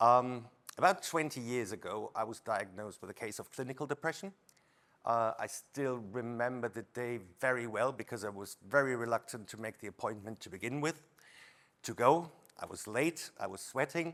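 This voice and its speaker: At a moderate pace, a man talks at a medium pitch with ordinary pitch variation and big swings in loudness. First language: not English. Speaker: industry leader. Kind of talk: testimony. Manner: halting.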